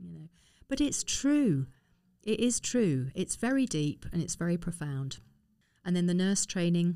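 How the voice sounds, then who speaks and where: A woman with a southern English accent speaks in a fairly low, dark, mellow tone at a fairly slow pace. Her voice has very wide pitch swings and big swings in loudness, with long, frequent pauses. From London (Harrow). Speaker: former army nurse and campaigner. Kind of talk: interview.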